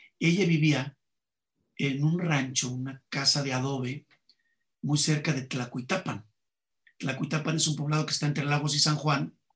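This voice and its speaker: A man's fairly high, somewhat breathy voice at a moderate pace, fairly even in intonation, with long, frequent pauses. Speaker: comedian. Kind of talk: interview conversation.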